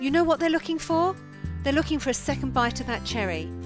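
Music plays behind a woman as she talks. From UK. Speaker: business coach. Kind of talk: motivational marketing talk to camera.

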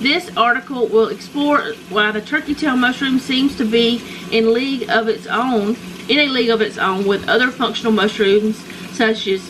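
Noticeable background noise around a woman's moderately paced speech. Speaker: home vlogger. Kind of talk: casual vlog chat, reading aloud. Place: kitchen.

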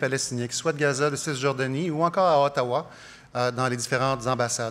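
Here is a man with an unremarkable speaking voice and a fairly high pitch. He talks at a fairly quick pace. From Quebec. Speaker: politician, leadership candidate; politician, candidate. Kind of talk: political debate. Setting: stage with audience. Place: stage. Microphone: podium.

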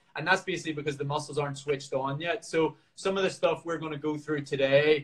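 Over a quiet background, a man with a Northern Irish accent talks at a fairly high pitch, somewhat breathy and with monotone, flat intonation. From Northern Ireland. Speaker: professional marathon runner. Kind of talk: workout tutorial; live stream Q&A. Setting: live video stream from home. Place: home room. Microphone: video call.

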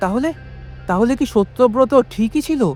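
A shaky, fairly high put-on character voice plays over faint music in the background. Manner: trembling, frightened.

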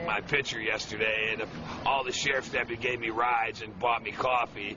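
A man with an American accent at medium pitch, fairly quick pace and fairly even intonation, over noticeable background noise. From Chicago, Illinois. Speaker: Vietnam veteran. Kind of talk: interview answer. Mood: agitated, indignant storytelling. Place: street. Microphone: phone near.

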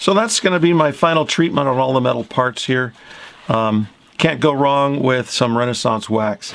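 Noticeable background noise sits behind a man speaking at medium pitch and a moderate pace. His loudness stays very even, with ordinary pitch variation. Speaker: instrument restorer. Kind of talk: tutorial.

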